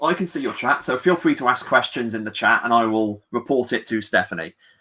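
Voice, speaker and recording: A man with an English accent talks very fast in a fairly high pitch with very wide pitch swings. His tone is bright and sharp. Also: very clean recording, silent background. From England. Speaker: comic book writer. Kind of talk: casual chat. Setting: livestream.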